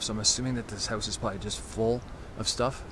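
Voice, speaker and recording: Over noticeable background noise, a man talks fairly quickly at a fairly low pitch with fairly even intonation, the sound dry with no echo. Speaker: urban explorer vlogger. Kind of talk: casual vlog chat. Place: open country. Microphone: phone near.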